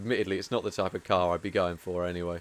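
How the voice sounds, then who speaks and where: The speaker is a man with a southern English accent. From southern England. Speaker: video game speedrunner and streamer. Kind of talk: casual live-stream chat while gaming. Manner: hesitant, repeats words.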